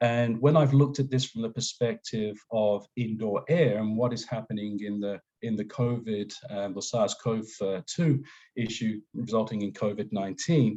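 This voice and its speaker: With an Australian accent, a man speaks in a dark, mellow tone and fairly even intonation. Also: medium pitch for a man, moderate pace. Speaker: safety engineering consultant. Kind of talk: webinar presentation. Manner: hesitant, many fillers.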